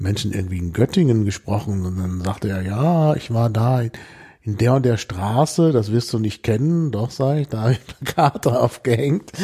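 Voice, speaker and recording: A man's medium-pitched, somewhat breathy voice with a dark, mellow tone, lively intonation and a moderate pace. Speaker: podcast host. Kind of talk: casual interview.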